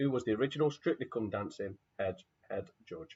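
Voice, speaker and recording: A man talks quietly. His pace is moderate. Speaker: quiz host. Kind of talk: live online quiz.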